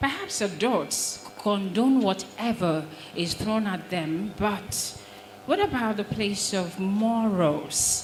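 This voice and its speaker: A woman talks at a very slow pace in a medium pitch with ordinary pitch variation. Audible room echo and noticeable background noise fill the recording. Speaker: broadcast trainer and presenter. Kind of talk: audience question at a panel. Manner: quiet, hard to hear at first.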